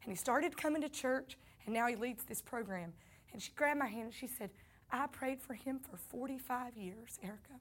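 An animated woman with a Southern US accent, high-pitched, at a fairly quick pace, with ordinary pitch variation and big swings in loudness. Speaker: pastor. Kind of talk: sermon.

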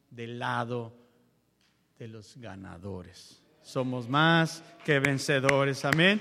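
In a space with audible room echo, a man speaks at a very slow pace. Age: 40s. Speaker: preacher. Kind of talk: sermon. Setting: church.

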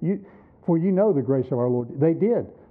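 This man has an unremarkable speaking voice with a fairly high pitch. He talks at a fairly quick pace. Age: 60s. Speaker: pastor. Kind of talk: sermon. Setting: church.

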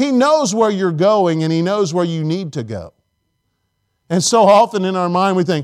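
A high-voiced man with an American accent speaks at a moderate pace, his intonation lively. The recording is very clean, with a silent background. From Indiana, US Midwest. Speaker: pastor. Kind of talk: sermon. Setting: church.

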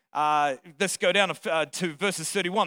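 A man speaks in a raised, projected voice with a bright, sharp, animated tone. His pace is fairly slow, and the sound is dry and close with no echo. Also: very clean recording, silent background. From Australia or New Zealand. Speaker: visiting pastor. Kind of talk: sermon. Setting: church with congregation. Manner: animated, humorous.

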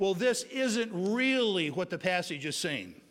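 A man's voice shows ordinary pitch variation with audible room echo. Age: 50s. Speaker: pastor. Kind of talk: sermon. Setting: church.

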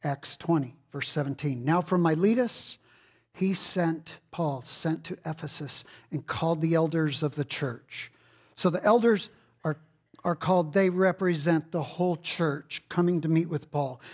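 A man in a Texan accent at a fairly high pitch and fairly slow pace, with ordinary pitch variation, on a very clean recording with a silent background. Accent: Texan US Southern. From Texas. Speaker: pastor. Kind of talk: sermon. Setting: church.

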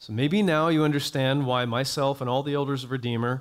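A man's normal speaking voice with an American accent and ordinary pitch variation, on a very clean recording with a silent background. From US South, North Florida (Jacksonville). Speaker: pastor. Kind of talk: sermon.

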